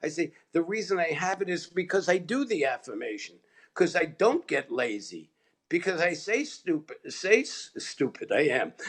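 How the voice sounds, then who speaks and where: In a high pitch, a man speaks at a moderate pace with an animated tone and lively intonation. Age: 70s. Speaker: chiropractic mentor and practice coach. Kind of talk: interview.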